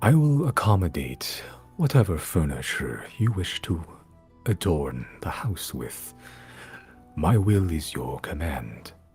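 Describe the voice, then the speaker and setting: A man puts on a character voice with very deep, low pitch and very wide pitch swings, speaking at a fairly slow pace with long, frequent pauses over faint music in the background. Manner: formal, solemn.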